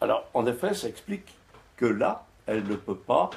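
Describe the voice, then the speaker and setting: A man speaks with a French accent at a moderate pace. His voice is somewhat breathy, with lively intonation. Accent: native French. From France. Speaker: philosopher and author. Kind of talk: panel discussion reply. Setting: stage with audience.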